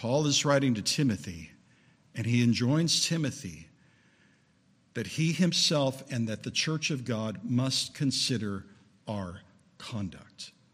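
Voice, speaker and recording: A man speaks at a fairly slow pace in a medium pitch. His voice is somewhat breathy, and his intonation is lively. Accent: American. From Southern California. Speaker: preacher. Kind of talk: sermon. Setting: church.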